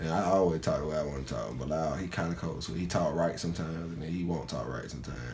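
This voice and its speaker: Music plays behind a man with a strong Atlanta accent who talks at a very fast pace with hardly any pauses and audible room echo. His pitch is very deep and low, with ordinary variation. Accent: Southern Atlanta accent, strong. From Atlanta, Georgia, US South. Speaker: college student. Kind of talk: interview. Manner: casual, informal with many fillers.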